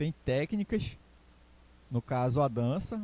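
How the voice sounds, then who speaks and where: In a Pará accent, a man with a dark, mellow, somewhat breathy tone and medium pitch speaks at a moderate pace, the sound dry and close with no echo. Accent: Castanhal Pará. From Pará, Brazil (Castanhal). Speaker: teacher. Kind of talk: recorded online lecture. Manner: hesitant, many fillers.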